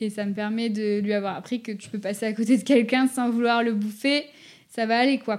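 At a fairly quick pace, a woman speaks in a fairly high pitch with fairly even intonation on a very clean recording with a silent background. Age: 20s. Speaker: dog behaviour consultant. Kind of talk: casual chat. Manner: halting.

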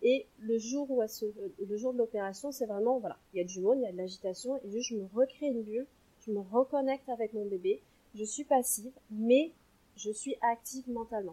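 A woman with an unremarkable speaking voice talks at a fairly quick pace, her fairly high pitch showing ordinary variation. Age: 30s. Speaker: sophrologist and perinatal coach. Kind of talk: interview; guided relaxation exercise.

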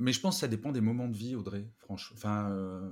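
A fairly low-pitched man at a fairly quick pace with ordinary pitch variation. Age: 50s. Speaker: podcaster, author and speaker. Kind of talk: interview conversation.

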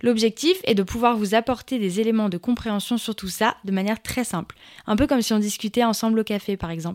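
A woman speaks in a plain, everyday voice. Her pitch is fairly high and her pace fairly quick. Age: 20s. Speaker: podcast host and social entrepreneur. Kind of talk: scripted podcast monologue.

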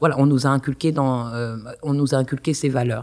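Her voice is very deep and low for a woman, with a dark, mellow tone. She talks at a fairly quick pace in a flat monotone, on a very clean recording with a silent background. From Paris suburbs, France (Kremlin-Bicêtre). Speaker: university lecturer. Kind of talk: interview.

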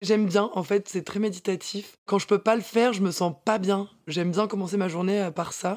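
A woman of medium pitch speaks at a moderate pace with hardly any pauses. The recording is very clean, with a silent background. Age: 20s. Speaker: dancer and fitness instructor. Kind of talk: casual interview. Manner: energetic.

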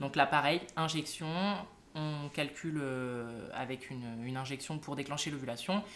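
At a fairly slow pace, a woman speaks with a very deep, low pitch and ordinary pitch variation. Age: 20s. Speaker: nurse and twin mother sharing IVF story. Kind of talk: interview testimony. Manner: hesitant, many fillers.

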